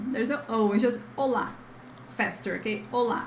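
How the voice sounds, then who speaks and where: Through noticeable background noise and audible room echo, a woman speaks at a fairly high pitch with ordinary pitch variation. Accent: Brazilian. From Brazil. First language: Portuguese. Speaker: language teacher. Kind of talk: tutorial. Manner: casual, chatty.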